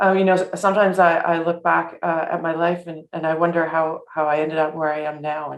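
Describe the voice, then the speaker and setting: With a Canadian accent, a woman talks at a moderate pace. Her pitch is fairly low, with ordinary pitch variation. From Canada, Etobicoke (Toronto). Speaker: award recipient. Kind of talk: acceptance speech. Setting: video call. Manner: halting, many fillers.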